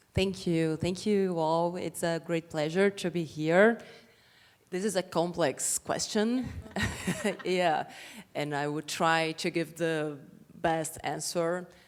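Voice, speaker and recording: With a Portuguese accent, a woman of fairly low pitch speaks at a very slow pace, with long, frequent pauses and fairly even intonation. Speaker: women's rights activist and entrepreneur. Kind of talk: panel discussion.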